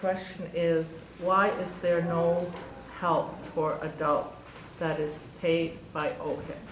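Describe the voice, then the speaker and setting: A woman speaks very slowly in a fairly low, monotone, flat voice. Audible room echo and noticeable background noise are present. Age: 60s. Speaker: audience member asking a question. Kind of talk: audience question.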